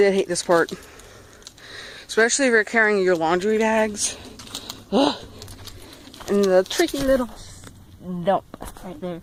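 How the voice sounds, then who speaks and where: The delivery has a moderate pace with long, frequent pauses. Background noise is noticeable. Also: woman, medium pitch for a woman, lively intonation. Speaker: vlogger. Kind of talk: walking tour vlog.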